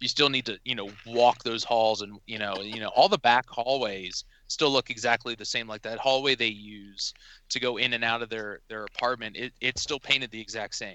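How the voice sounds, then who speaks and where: A man with a normal speaking voice talks at medium pitch and a moderate pace. His intonation stays fairly even while his loudness swings widely. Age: 30s. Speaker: horror fan and film location enthusiast. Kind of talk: casual chat. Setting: phone or online call.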